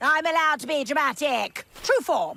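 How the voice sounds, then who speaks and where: A cartoonish character voice, high in pitch, at a moderate pace. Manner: theatrical, dramatic.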